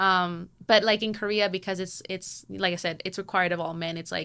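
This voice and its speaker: On a very clean recording with a silent background, a woman with a Spanish accent speaks at a fairly quick pace. Her tone is bright and sharp, at medium pitch. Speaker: K-pop fan. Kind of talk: casual chat. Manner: hesitant, many fillers.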